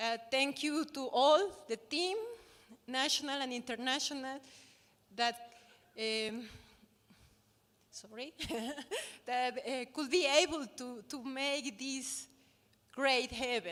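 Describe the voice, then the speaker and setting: With a Spanish accent, a woman speaks at a high pitch with ordinary pitch variation. Her pace is very slow, with long, frequent pauses. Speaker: university official. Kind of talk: closing ceremony speech.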